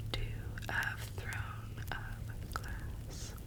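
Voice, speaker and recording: Whispering over noticeable background noise. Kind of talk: casual talk to camera. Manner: soft-spoken.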